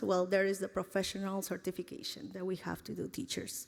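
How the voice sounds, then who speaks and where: A woman speaks with a Spanish accent. Her pitch sits in the medium range. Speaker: teacher. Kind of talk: speech to an audience. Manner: halting.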